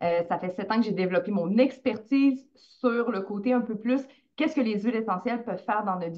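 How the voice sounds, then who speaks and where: With a Quebec accent, a woman speaks at a fairly high pitch with ordinary pitch variation. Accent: Québécois French. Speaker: essential oils coach. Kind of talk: interview.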